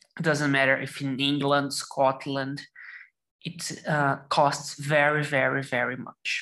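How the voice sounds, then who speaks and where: Speaking very slowly in a Portuguese accent, a woman uses a very deep, low pitch, a bright, sharp tone and monotone, flat intonation. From Brazil, São Paulo state. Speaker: lawyer. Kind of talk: casual chat.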